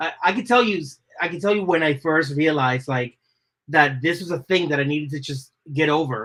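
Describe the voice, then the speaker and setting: In an American accent, a man talks at a fairly quick pace with a bright, sharp tone. His pitch is fairly high, with ordinary variation. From Dominican Republic, raised Boston area US. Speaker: designer. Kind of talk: podcast interview.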